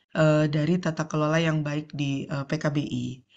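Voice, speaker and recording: A woman's fairly slow, fairly even-toned speech in audible room echo. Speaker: NGO division head, panel speaker. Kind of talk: conference presentation. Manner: frequent hesitation fillers.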